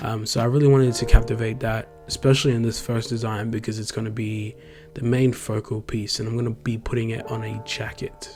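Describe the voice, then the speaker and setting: A man with an Australian accent talks at a fairly quick pace. His intonation is monotone and flat, with music in the background. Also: medium pitch for a man. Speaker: graphic designer, YouTuber. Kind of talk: tutorial-style vlog narration. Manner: casual, with filler ums.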